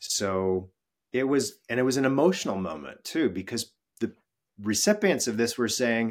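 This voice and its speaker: Man at a medium pitch and moderate pace, with long, frequent pauses. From western US. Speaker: employee experience executive. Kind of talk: interview.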